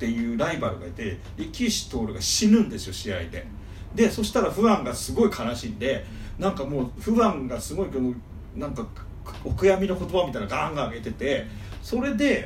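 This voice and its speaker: A man speaks at a high pitch with very wide pitch swings. There is audible room echo and noticeable background noise. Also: fairly quick pace. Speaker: manga fan guest. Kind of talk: casual chat.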